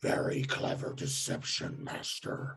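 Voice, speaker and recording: A man does a put-on character voice with a growl, at a medium pitch. The delivery is monotone and flat at a fairly slow pace. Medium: actual play. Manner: formal, grandiose.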